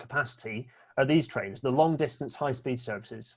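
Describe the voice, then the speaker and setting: Somewhat breathy and at a medium pitch, a man with a Scottish accent talks at a fairly quick pace with ordinary pitch variation in a very clean recording with a silent background. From Scotland. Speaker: railway speaker. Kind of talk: presentation talk. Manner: fast.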